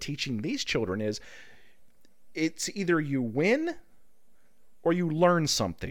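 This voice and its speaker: Very wide pitch swings mark this man's high-pitched voice. The recording is very clean, with a silent background. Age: middle-aged. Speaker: podcast host. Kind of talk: casual chat.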